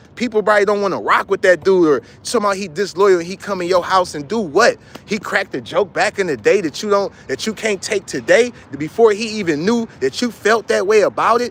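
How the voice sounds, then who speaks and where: A man with an American accent speaks at a fairly quick pace in a high, animated voice with ordinary pitch variation. Noticeable background noise is present. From Cleveland, Ohio, US. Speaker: commentator. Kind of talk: rant to camera.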